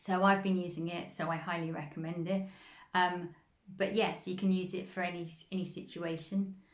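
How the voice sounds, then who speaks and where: In a room with audible echo, a woman with a fairly low pitch speaks at a moderate pace in a monotone, flat intonation. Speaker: spiritual healing coach. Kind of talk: instructional talk.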